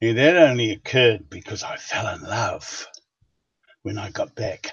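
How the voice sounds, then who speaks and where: This man's voice carries a somewhat breathy quality. He delivers his words fairly slowly. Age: 70s. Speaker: writer. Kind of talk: interview.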